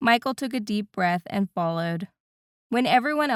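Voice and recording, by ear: Over a quiet background, the text is read aloud in a natural voice with lively intonation.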